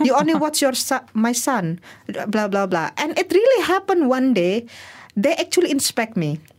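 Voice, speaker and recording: A woman's high voice in an Indonesian accent, very even in loudness yet with very wide pitch swings. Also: moderate pace. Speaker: migrant workers' rights advocate. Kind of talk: interview. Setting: studio.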